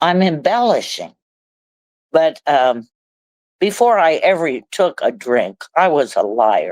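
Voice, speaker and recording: A woman with a Midwestern American accent and a fairly low pitch speaks at a very slow pace with very wide pitch swings, in a dry, close sound with no echo. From Ohio, USA. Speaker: recovering alcoholic. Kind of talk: interview answer. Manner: humorous.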